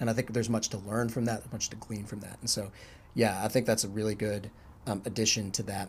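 Speaking at a fairly quick pace, a man uses a fairly low, somewhat breathy voice. His intonation is monotone and flat. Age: 30s. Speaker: podcast host, university staff. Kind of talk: casual chat.

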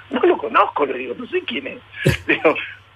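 There is noticeable background noise behind this man. He speaks at a moderate pace. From Argentina, La Plata. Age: 50s. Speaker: rugby veteran, club official. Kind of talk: radio interview.

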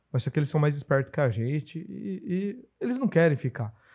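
Fairly quick and somewhat breathy, this man speaks at a fairly high pitch with lively intonation. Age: 40s. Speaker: podcast host and business consultant. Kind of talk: casual podcast chat.

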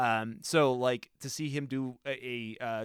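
Pitch varies in an ordinary way as the man delivers his lines in an unremarkable speaking voice. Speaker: podcast co-host. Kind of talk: casual chat.

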